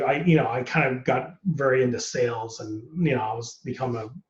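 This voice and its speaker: A man with an American accent speaks at medium pitch and a moderate pace. His voice is somewhat breathy, with audible room echo. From United States. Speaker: actor. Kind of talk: casual interview.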